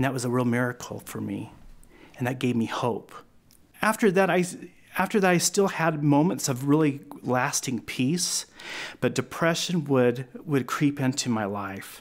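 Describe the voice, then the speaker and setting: In an American accent, a man with a fairly high pitch and lively intonation speaks at a moderate pace, leaving long, frequent pauses, on a very clean recording with a silent background. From Oklahoma. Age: 40s. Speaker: interviewee sharing personal faith story. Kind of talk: testimony. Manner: halting, with many fillers and restarts.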